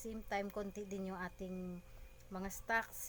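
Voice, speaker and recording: At a moderate pace, a woman speaks at medium pitch. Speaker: vlogger and sari-sari store owner. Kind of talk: casual vlog narration.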